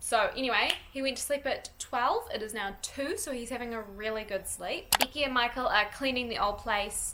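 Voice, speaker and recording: A woman with a New Zealand accent talks at a moderate pace in a high voice, with hardly any pauses. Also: ordinary pitch variation. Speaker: lifestyle vlogger, mother. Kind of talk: casual vlog, house tour. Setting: at home. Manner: casual, chatty.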